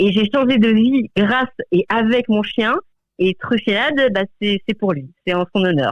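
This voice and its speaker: At a fairly slow pace, a woman speaks in a fairly high pitch with lively intonation. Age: 40s. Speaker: dog trainer. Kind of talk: radio interview. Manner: halting, many repetitions and fillers.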